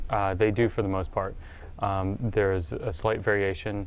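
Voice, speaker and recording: At a fairly quick pace, a man with a fairly low pitch speaks amid audible room echo. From US mainland. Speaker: high school English teacher. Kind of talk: interview.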